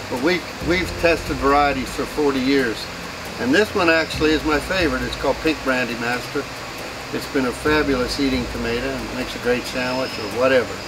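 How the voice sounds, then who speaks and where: A man with an American accent talks at a fairly quick pace in a medium pitch with ordinary pitch variation. Noticeable background noise and audible room echo are in the recording. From western Pennsylvania. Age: 60s. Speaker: farmer. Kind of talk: casual farm tour talk. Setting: outdoors on the farm and in greenhouses.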